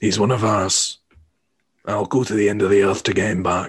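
A man does a raspy, put-on character voice with a fairly low pitch. He keeps a flat monotone at a moderate pace. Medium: actual play. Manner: earnest.

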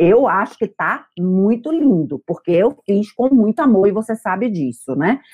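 A woman with a northeastern Brazilian accent speaks at a fairly slow pace with hardly any pauses and very wide pitch swings. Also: medium pitch for a woman. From Brazil, Bahia. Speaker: psychotherapist. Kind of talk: testimony.

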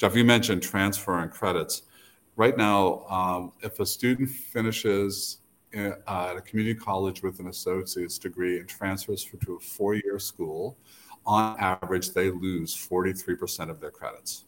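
At a moderate pace, a man with a fairly low pitch keeps his intonation fairly even. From New Brunswick, Canada, then Boston area. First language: French. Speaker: university president. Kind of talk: interview.

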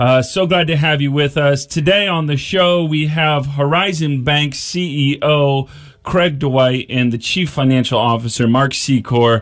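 Speaking at a fairly slow pace with hardly any pauses, a man keeps his loudness very even, his fairly high voice showing ordinary pitch variation. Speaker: radio talk show host. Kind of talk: radio interview. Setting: radio studio. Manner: enthusiastic.

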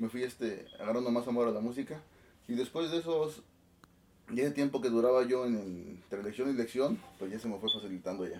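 A man talks at a fairly quick pace and a medium pitch. His is a plain, everyday voice with ordinary pitch variation. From Oaxaca, Sierra Juárez, Mexico. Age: 20s. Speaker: band musical director. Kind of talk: casual interview.

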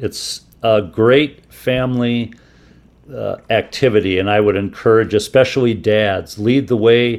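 A man speaks at a fairly slow pace in a normal speaking voice at medium pitch, with an American accent. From Minnesota, US Midwest. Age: 60s. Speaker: photographer and outdoorsman. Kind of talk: radio interview.

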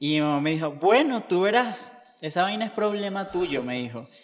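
Pitched high, a man speaks at a moderate pace with very wide pitch swings. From Venezuela, Barquisimeto. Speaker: seminarian, theology student. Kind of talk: interview testimony.

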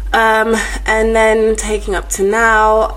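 With a London accent, a woman talks at a moderate pace amid noticeable background noise and audible room echo. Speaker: actress and singer. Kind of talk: casual chat.

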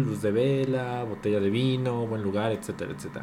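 A man's medium-pitched voice with ordinary pitch variation, audible room echo and music in the background. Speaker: podcast co-host. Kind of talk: casual chat. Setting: home dining room.

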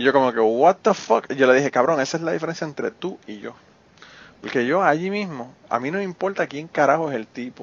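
A man with a plain, everyday voice talks at a fairly quick pace, fairly high in pitch, with lively intonation and big swings in loudness. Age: 40s. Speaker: podcast host. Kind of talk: casual chat; scripted outro.

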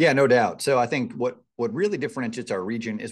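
A man with an American accent talks at a very fast pace. His intonation is lively, and the background is quiet. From US Northeast. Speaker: economic development executive. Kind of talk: podcast interview.

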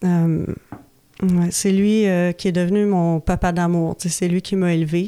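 A woman speaks very slowly in a fairly low, dark and mellow voice, with very even loudness and flat, monotone intonation. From Quebec, Laurentides. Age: 40s. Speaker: recovering alcoholic sharing story. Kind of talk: personal testimony. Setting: radio studio. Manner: halting, many hesitations.

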